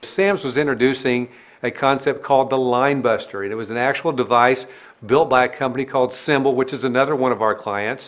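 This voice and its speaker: A man talks at a fairly quick pace with a medium pitch and fairly even intonation. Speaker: business coach. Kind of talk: tutorial. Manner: fast.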